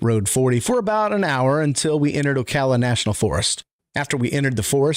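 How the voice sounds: A natural reading voice with lively intonation, heard over a quiet background.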